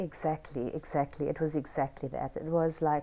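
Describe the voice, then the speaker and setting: A woman speaks with a very deep, low pitch and a dark, mellow tone. Her intonation stays fairly even. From South Africa, Cape Town. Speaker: burlesque dancer. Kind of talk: interview.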